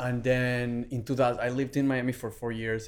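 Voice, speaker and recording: This man speaks with a Spanish accent. His pace is moderate. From Venezuela. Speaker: fitness brand founder and author. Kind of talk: casual interview, storytelling.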